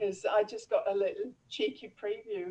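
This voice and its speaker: Using very wide pitch swings, a woman speaks at a fairly slow pace. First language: not English. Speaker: laughter yoga teacher. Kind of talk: casual interview. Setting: video call.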